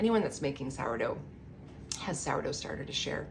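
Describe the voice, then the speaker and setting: Audible echo from the room comes through along with noticeable background noise. The speaker is a woman. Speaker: home baker teaching sourdough. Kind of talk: tutorial. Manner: fast; animated.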